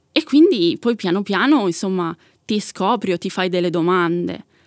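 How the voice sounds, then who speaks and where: A woman talks at a moderate pace in a medium pitch, with an unremarkable speaking voice. The recording is very clean, with a silent background and a dry, close sound with no echo. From Italy, Milan. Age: 30s. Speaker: asexual activist. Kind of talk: interview.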